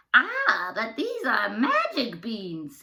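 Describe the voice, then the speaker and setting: A woman puts on a character voice at a fairly high pitch. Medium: read story.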